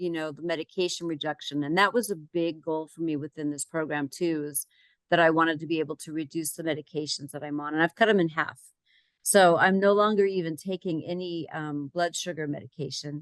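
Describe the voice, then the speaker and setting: Over a quiet background, a woman with a normal speaking voice and fairly low pitch talks at a fairly quick pace with big swings in loudness, and the sound is dry and close with no echo. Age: 60s. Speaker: client sharing health success story. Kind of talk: interview testimony.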